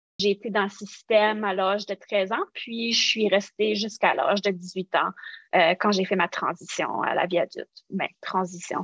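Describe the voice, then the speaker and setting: With an Acadian accent, a woman speaks at medium pitch and with fairly even intonation in a dry, close sound with no echo. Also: moderate pace. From New Brunswick, Acadia (Canada). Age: 40s. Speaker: social work researcher, former foster youth. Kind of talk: podcast interview.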